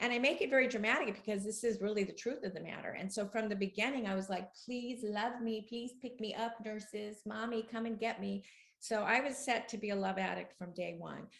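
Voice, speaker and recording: An ordinary speaking voice moves at a fairly quick pace with hardly any pauses. The intonation stays fairly even. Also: woman, fairly high pitch for a woman. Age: 60s. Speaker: author and love addiction expert. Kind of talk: interview.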